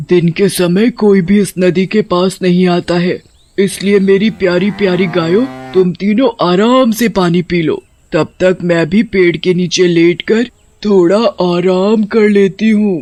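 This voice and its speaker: In a cartoonish character voice at a middle pitch, the speaker delivers lines at a moderate pace. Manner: talks to her cows affectionately.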